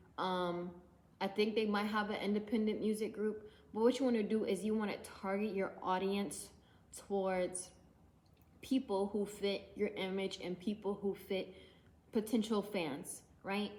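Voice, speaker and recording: A woman speaks in a monotone with flat intonation, at a moderate pace, with long, frequent pauses. Her pitch is medium, and there is noticeable background noise. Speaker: independent musician and YouTuber. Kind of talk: casual tutorial vlog. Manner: casual, with many fillers.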